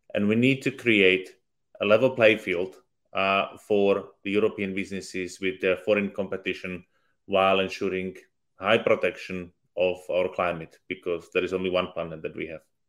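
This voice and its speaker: The speaker talks at a moderate pace in a Slovak accent, with fairly even intonation. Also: man, fairly low pitch for a man. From Slovakia. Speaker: politician. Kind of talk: panel discussion. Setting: online video event.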